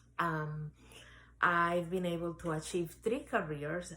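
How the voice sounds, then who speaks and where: Speaking with a Spanish accent, a woman has a fairly low pitch and ordinary pitch variation. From Dominican Republic, Santo Domingo. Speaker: real estate agent and life coach. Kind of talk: interview testimony.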